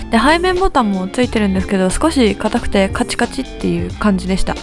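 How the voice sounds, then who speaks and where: Music in the background beneath a fairly quick-paced woman. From Japan. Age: 20s. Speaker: game streamer. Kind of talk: casual talk to camera, product review.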